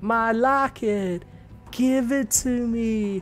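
Clear music plays in the background behind a put-on character voice pitched fairly high. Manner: eerie, haunting.

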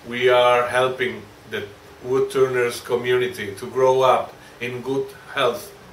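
Audible room echo and light background noise accompany a man with a Spanish accent who talks at a fairly slow pace with ordinary pitch variation. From Spain. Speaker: woodturning video creator. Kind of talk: holiday greeting to viewers. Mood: warm, grateful. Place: workshop.

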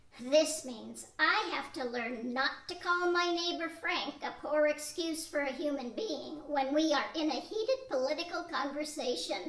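Speaking at a moderate pace with hardly any pauses, a woman's high voice comes through over light background noise. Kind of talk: 1940s radio acting. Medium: audio drama. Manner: earnest, instructive.

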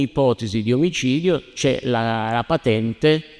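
Against a quiet background, a man speaks at a medium pitch. His pitch varies in an ordinary way. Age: 60s. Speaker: lawyer. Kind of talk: heated debate. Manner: animated. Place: church. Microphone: handheld.

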